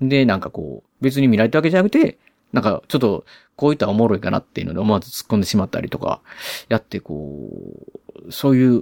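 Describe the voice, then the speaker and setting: Medium-pitched male voice with a Kansai accent, a fairly quick pace, very wide pitch swings, and a dry, close sound with no echo. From Osaka, Japan. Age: 40s. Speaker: podcast host. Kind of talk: solo movie review talk. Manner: casual, filler-heavy.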